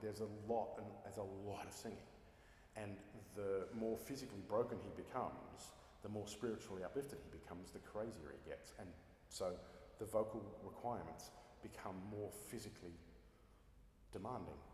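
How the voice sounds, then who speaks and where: A man with an Australian accent talks at a moderate pace in a fairly low pitch. Long, frequent pauses break up his speech. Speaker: opera singer. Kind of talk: interview answer.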